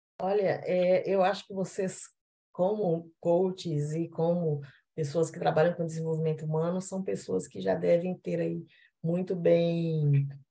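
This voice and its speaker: A woman's fairly low, somewhat breathy voice with a dark, mellow tone and a Minas Gerais accent, at a fairly slow pace with fairly even intonation and big swings in loudness. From Minas Gerais, Brazil. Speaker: panelist. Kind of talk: panel discussion.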